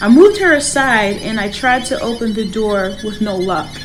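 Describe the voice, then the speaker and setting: A woman with an American accent speaks at a fairly slow pace and a fairly high pitch, with ordinary pitch variation. Music plays in the background. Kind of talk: personal horror story narration. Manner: some stammering.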